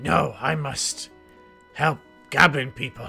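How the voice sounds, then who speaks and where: A raspy put-on character voice from a man, fairly high in pitch and fairly slow, with faint music in the background. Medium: actual play. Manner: broken, clipped grammar.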